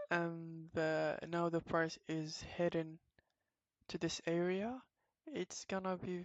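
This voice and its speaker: Speaking at a very slow pace, a woman keeps a fairly low pitch and a monotone, flat intonation. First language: not English. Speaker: trading educator. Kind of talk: tutorial. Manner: halting, many fillers.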